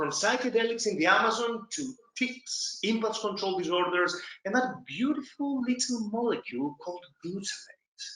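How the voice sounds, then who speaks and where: A man with an extremely high-pitched voice speaks with a Greek accent. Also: ordinary pitch variation, moderate pace. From Greece. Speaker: podcast host and psychiatrist. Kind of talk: podcast outro. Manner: animated.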